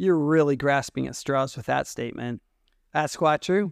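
Recorded very cleanly with a silent background and a dry, close sound with no echo, a man with a fairly high voice and ordinary pitch variation has an unremarkable speaking voice. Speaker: author reading own fiction.

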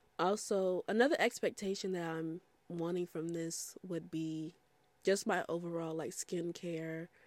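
The recording is very clean with a silent background. A woman speaks with a fairly low pitch and fairly even intonation. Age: 20s. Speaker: podcast host. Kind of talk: casual solo monologue. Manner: conversational with many fillers.

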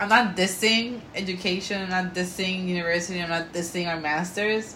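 With a Puerto Rican accent, a woman of medium pitch talks at a moderate pace over noticeable background noise. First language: Spanish. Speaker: podcast co-host. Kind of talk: casual chat. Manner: animated.

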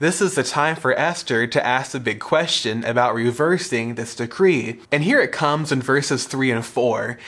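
A man speaks with an ordinary speaking voice at a medium pitch. His pace is moderate, and his pitch variation is ordinary. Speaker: youth pastor and podcast host. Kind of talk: Bible teaching podcast, with scripture read aloud. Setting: studio podcast recording. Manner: formal, measured reading of scripture in a steady cadence; explanatory, earnest.

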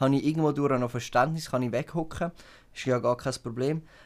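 In a Swiss accent, a man speaks at a fairly high pitch. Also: very clean recording, silent background. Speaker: podcast co-host. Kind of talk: casual chat. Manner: animated.

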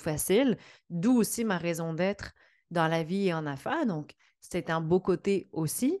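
A woman with a Quebec accent, medium pitch, lively intonation and moderate pace against a quiet background. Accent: Québécois French. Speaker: podcast host, entrepreneurship coach. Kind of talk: solo podcast monologue.

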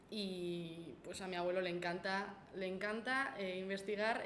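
Noticeable background noise and audible room echo surround a woman's voice. She has a medium pitch and fairly even intonation. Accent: Basque. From Basque Country, Gipuzkoa (Spain). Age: 20s. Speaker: university student intern. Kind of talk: casual chat. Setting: in person, coworking space.

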